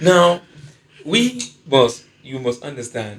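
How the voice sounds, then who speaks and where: Somewhat breathy, a man with a Nigerian accent speaks at a very slow pace. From Nigeria (Edo). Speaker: stand-up comedian. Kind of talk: podcast discussion. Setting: studio. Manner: animated.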